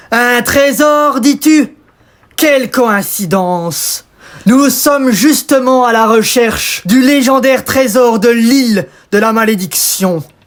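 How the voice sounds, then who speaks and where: At a fairly slow pace, a man uses a put-on character voice pitched extremely high. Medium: read story. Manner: mocking, gloating.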